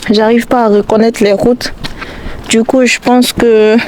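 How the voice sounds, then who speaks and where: A woman's fairly high-pitched voice stays monotone and flat while noticeable noise fills the background. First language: not French (speaking French). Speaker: YouTuber, student. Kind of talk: vlog monologue. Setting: outdoors, walking. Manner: halting.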